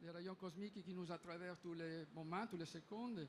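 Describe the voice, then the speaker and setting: Over noticeable background noise, a man with a non-native accent speaks at a fairly slow pace in a high pitch with fairly even intonation. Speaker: startup representative. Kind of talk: pitch presentation. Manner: halting.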